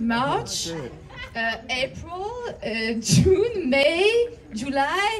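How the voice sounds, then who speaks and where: A woman with a French accent uses a playful tone and very wide pitch swings over light background noise. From France. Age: 30s. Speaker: comedian. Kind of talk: stand-up comedy set in her second language, raunchy confessional bits. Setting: stage with audience. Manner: self-deprecating, playful, riding audience laughter; hesitant, with frequent uh fillers and repeated words. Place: stage. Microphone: pa.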